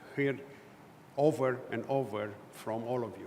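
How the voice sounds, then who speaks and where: A man's medium-pitched voice rings with audible room echo. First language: not English. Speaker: conference speaker on consumer standards. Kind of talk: conference presentation. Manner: hesitant with fillers.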